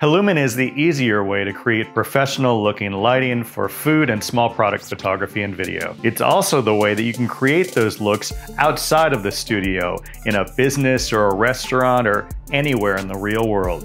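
A man speaks with ordinary pitch variation while faint music plays in the background. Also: moderate pace. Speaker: presenter. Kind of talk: narrated product demo. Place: studio.

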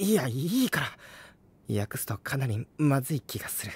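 A female-sounding voice puts on a character voice at a low-to-middle pitch. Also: moderate pace. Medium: audio drama.

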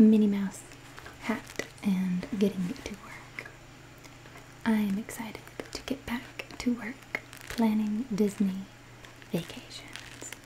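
This woman's whispering moves very slowly. Long, frequent pauses break up her speech. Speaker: relaxation video creator. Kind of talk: soft-spoken reading and personal chat. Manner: soft, intimate ASMR murmur. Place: home room. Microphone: studio mic.

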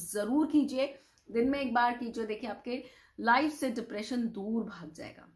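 Her voice high in pitch, a woman speaks in an animated tone with ordinary pitch variation. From India. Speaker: vastu consultant, video host. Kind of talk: tutorial. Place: home room. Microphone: lapel.

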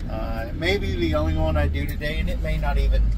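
Loud background noise fills the recording. Through it, a man keeps a moderate pace. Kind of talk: casual vlog chat. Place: car. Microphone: phone near.

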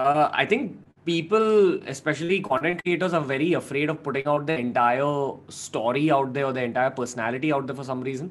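Very fast male speech with ordinary pitch variation. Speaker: guest. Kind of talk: interview answer. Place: home room. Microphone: studio mic.

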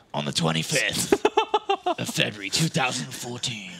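A man's put-on character voice, husky and medium in pitch, with a dramatic tone at a fairly slow pace. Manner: dramatic, gravelly.

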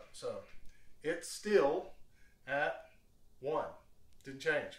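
There is audible room echo around a man's voice. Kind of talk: tutorial. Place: kitchen. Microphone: camera far.

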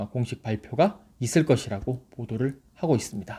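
A man's voice has a dark, mellow tone. His pitch swings very widely. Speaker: football journalist. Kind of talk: news briefing. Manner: formal.

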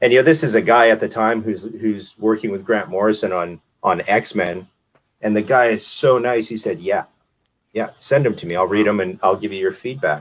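A man with an ordinary speaking voice, fairly low in pitch, at a moderate pace with ordinary pitch variation. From Canada, Winnipeg; Manitoba, Canada. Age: 40s. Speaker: comic book writer. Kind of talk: casual chat. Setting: video call. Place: home room. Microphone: video call.

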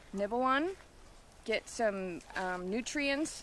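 A woman speaks at a very slow pace with lively intonation. The sound is dry with no echo, with light background noise. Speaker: wild plant guide. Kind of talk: tutorial. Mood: cheerful, enthusiastic. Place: open country. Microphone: phone near.

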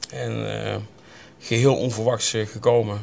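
At a fairly slow pace, a man speaks with a fairly low pitch and little pitch movement. Vocal fry runs through his slightly mellow tone.

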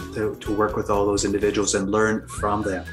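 Faint music plays behind a man as he speaks. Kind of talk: interview answer. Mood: reflective, grateful. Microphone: webcam.

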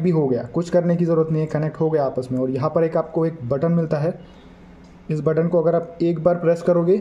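A man talks at a moderate pace in a flat, monotone delivery. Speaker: product reviewer. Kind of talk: tutorial. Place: home room.

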